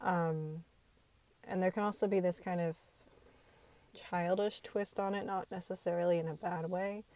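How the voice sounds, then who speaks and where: A quiet woman with a medium pitch and a dark, mellow tone speaks at a moderate pace. Her intonation is flat and monotone, with long, frequent pauses. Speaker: video blogger. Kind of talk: casual monologue to camera. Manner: hesitant, many filler ums.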